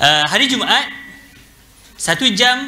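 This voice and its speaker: A man is speaking in a room with audible echo. Music plays in the background. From Malaysia. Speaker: university lecturer. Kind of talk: guest lecture. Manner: relaxed, casual; many hesitation fillers.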